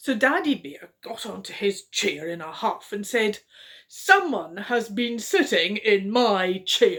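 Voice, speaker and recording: In a put-on character voice with a fairly high pitch, the speaker moves at a fairly slow pace. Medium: read story. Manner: gruff, huffy.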